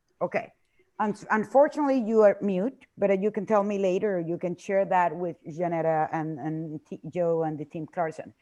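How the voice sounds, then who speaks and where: With a Spanish accent, a woman speaks at a moderate pace in a medium pitch, with lively intonation and a dark, mellow tone. The background is quiet. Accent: Spanish-speaking. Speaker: tour presenter. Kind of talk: sales presentation.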